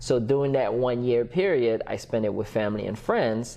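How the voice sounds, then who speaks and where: A man speaks at a fairly quick pace with a slight Haitian accent. His pitch is medium. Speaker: entrepreneur and business coach. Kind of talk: podcast interview.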